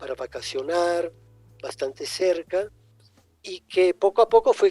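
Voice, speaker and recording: A man with an Italian accent speaks at a very slow pace in a high pitch, with ordinary pitch variation, over background music, in a dry, close sound with no echo. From grew up between Egypt, Italy and Mexico. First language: Italian (speaking Spanish). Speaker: writer and poet. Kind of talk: interview. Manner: halting, with many repetitions.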